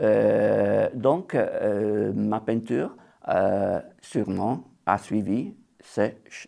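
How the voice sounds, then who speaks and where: In a very clean recording with a silent background, a man with an Italian accent speaks at a very slow pace. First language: Italian (speaking French). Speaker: watercolour painter. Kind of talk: interview. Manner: halting, many hesitations.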